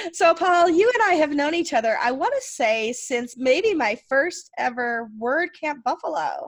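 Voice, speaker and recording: A woman's high-pitched voice with a Rochester accent, at a fairly slow pace. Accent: Rochester flat A. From Rochester, New York. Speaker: podcast host. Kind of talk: casual interview.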